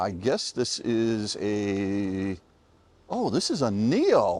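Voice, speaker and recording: A man with an American accent at a very slow pace. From United States. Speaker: EV reviewer, video creator. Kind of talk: casual vlog chat with strangers. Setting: outdoors at a charging station. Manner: animated.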